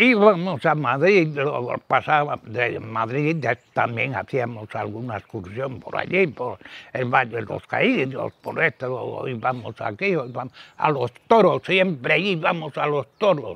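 Lively intonation carries speech at a very slow pace in a dry sound with no echo. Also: man, fairly high pitch for a man. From Cantabria, Spain. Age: 80s+. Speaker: elderly villager interviewee. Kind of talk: interview answer. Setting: outdoors. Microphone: lapel.

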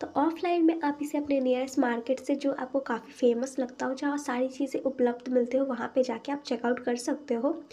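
A woman's high-pitched voice with a dark, mellow tone, monotone and flat in intonation, at a moderate pace. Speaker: beauty product reviewer. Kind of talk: product review.

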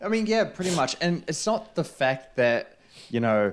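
A man speaks with a New Zealand accent. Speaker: film podcast co-host. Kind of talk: casual chat. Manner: animated. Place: home room. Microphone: studio mic.

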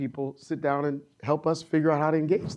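A man's voice, fairly high in pitch. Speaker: physician; panelist. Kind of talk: panel discussion. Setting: stage with audience. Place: hall. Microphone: lapel.

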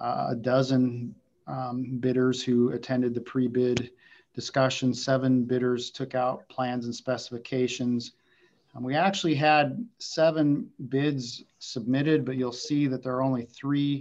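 The delivery from this man is fairly slow. The intonation holds fairly even throughout. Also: quiet background. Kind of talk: staff report to board. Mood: calm, businesslike. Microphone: video call.

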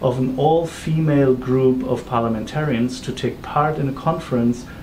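Fairly even intonation at a moderate pace, with light background noise. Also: man. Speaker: interviewer. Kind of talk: interview introduction and questions. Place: office.

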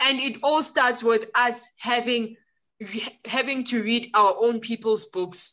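Speaking very slowly with fairly even intonation, a woman with a South African accent has a high, bright, sharp voice. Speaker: book club co-founder. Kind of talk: casual chat.

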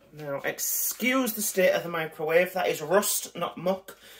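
There is noticeable background noise behind a man. His intonation is lively. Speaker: food reviewer. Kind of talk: casual vlog chat. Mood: jokey, light-hearted. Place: kitchen. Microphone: phone near.

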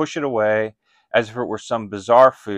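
Over a quiet background, a man talks at a moderate pace in a dry sound with no echo. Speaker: pastor or Bible teacher. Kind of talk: sermon-like teaching talk. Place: home room.

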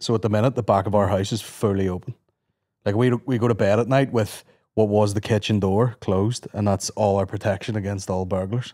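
At a fairly quick pace, the speaker has a dark, mellow tone and fairly even intonation in a very clean recording with a silent background. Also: man, fairly low pitch for a man.

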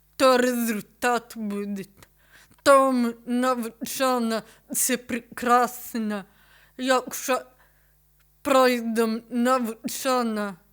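Against a silent background in a very clean recording, a woman with a high voice talks at a very slow pace in a flat monotone, leaving long, frequent pauses. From Ukraine, Kyiv. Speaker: photographer. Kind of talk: interview.

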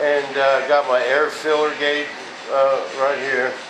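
A man speaks over noticeable background noise. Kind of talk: casual build tutorial. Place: workshop. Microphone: camera far.

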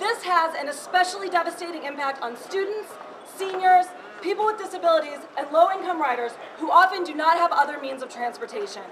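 With noticeable background noise behind her, a woman speaks at an extremely high pitch and a fairly quick pace, with ordinary pitch variation and big swings in loudness. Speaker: activist speaker. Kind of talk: protest speech. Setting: bank lobby protest. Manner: forceful, rallying, formal. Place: hall. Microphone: camera far.

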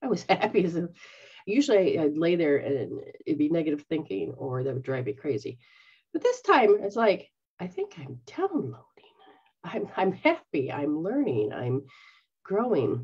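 At a moderate pace, a somewhat breathy woman with a fairly low pitch makes very wide pitch swings and takes long, frequent pauses. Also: big swings in loudness, quiet background. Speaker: spiritual teacher. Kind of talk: casual teaching talk. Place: home room. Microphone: webcam.

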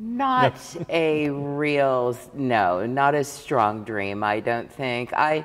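A woman with a Midwestern American accent talks with ordinary pitch variation. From Saline County, Kansas. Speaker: former state legislator, tax accountant and rancher. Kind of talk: interview answer. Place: hall.

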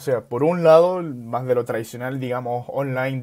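Against a quiet background, a man speaks fairly slowly, his pitch varying an ordinary amount. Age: 20s. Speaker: startup founder; guest. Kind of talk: casual interview. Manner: halting. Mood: relaxed, friendly. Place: home room. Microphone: earbuds.

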